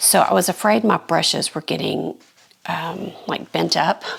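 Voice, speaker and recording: A woman's animated tone against noticeable background noise. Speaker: artist and art tutorial youtuber. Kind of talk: casual product haul and demo. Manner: chatty, animated.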